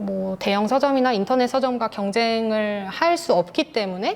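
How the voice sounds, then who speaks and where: Speech from a woman comes at a fairly slow pace. Her pitch is fairly high and varies in an ordinary way. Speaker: independent bookstore owner and writer. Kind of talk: presentation with Q&A. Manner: halting.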